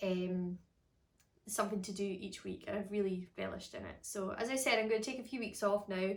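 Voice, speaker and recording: At a moderate pace, a woman with a Scottish accent speaks at a medium pitch with fairly even intonation. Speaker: harp teacher. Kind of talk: casual chat. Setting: at home.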